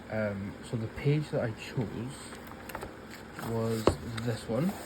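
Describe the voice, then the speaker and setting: Delivered with a Scottish accent at a very slow pace and ordinary pitch variation, the speech carries audible room echo and noticeable background noise. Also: man, medium pitch for a man. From Scotland. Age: 20s. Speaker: colouring YouTuber. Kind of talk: casual chat while colouring.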